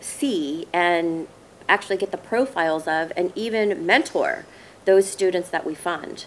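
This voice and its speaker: An unremarkable speaking voice: a woman with an American accent, medium pitch, moderate pace and light background noise. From Southern California. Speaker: former investment banker, scholarship fund board member. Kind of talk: interview. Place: garden.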